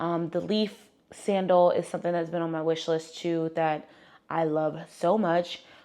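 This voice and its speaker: Her dark, mellow voice holds a fairly even intonation as the woman speaks. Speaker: fashion and lifestyle vlogger. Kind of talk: casual chat. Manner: loud.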